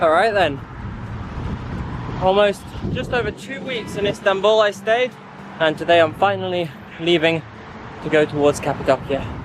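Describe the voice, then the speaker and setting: Over noticeable background noise, a man with a high pitch speaks at a moderate pace with lively intonation and long, frequent pauses. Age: 20s. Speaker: travel vlogger. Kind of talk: casual vlog talk.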